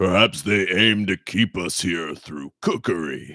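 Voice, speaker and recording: At a fairly slow pace, a man does a put-on character voice that is raspy and very deep and low, in a dry, close sound with no echo. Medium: read story. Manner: blunt, dry humor.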